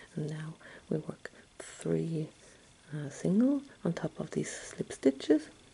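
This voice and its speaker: A very slow pace with long, frequent pauses. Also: woman. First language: German. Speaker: crochet tutor. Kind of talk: tutorial. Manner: halting, with many fillers. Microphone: phone near.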